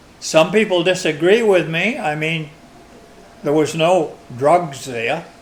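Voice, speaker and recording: Very slow and marked by long, frequent pauses, a man's high voice with an American accent shows ordinary pitch variation over noticeable background noise. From Maine, USA. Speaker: long-time resident interviewed for oral history. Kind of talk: oral history interview answer.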